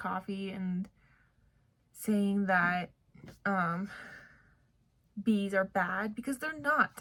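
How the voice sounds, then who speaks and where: A somewhat breathy woman's voice, medium in pitch, with ordinary pitch variation. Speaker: vlogger, grad student. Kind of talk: casual vlog talk to camera.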